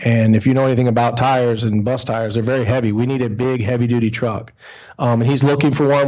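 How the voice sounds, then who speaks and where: A man with an American accent talks at a very fast pace. His pitch is medium and his intonation fairly even. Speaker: school transportation administrator. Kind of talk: presentation at board meeting.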